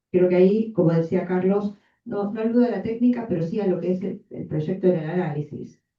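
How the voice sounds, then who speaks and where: At a fairly quick pace, a woman talks in a medium pitch, somewhat breathy, with ordinary pitch variation. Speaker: psychoanalyst. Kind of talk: audience comment at seminar.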